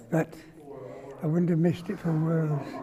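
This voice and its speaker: A man's voice over noticeable background noise. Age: 80s+. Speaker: WW2 veteran, former air force engineer. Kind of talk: interview answer. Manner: hesitant, halting.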